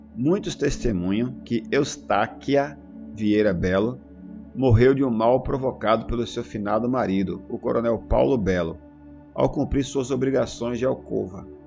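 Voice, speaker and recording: Music plays behind a man with a medium-pitched voice. His intonation is lively. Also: fairly slow pace. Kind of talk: audiobook reading.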